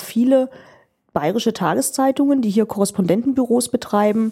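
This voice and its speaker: Somewhat breathy and dark, mellow in tone, this voice moves at a fairly quick pace with ordinary pitch variation, in a very clean recording with a silent background. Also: woman. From eastern Germany, Magdeburg. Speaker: parliamentary press spokesperson. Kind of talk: interview. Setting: office.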